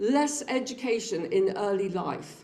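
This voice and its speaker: A woman is speaking. Room echo can be heard. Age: 60s. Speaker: public health researcher presenting findings. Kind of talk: seminar presentation.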